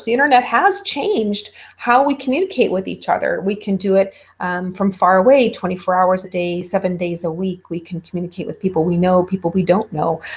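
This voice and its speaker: Somewhat breathy, a woman speaks at a fairly quick pace and medium pitch with ordinary pitch variation. The recording is very clean, with a silent background. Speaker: college instructor. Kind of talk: lecture.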